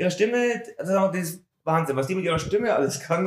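A man talks fairly quickly in a high voice whose pitch varies in an ordinary way. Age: middle-aged. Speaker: music podcast co-host. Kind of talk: casual chat.

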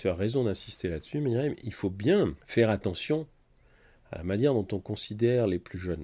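A man's dark, mellow voice at medium pitch and moderate pace, on a very clean recording with a silent background. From France. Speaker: doctor and writer. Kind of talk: interview.

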